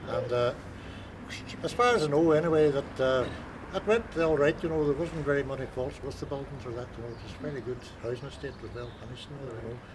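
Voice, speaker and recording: A man with a Donegal accent talks very fast at a fairly high pitch with ordinary pitch variation and big swings in loudness. Room echo is audible, and there is noticeable background noise. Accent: Donegal Irish. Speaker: local resident interviewee. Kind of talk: casual reminiscing chat. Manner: halting, many fillers.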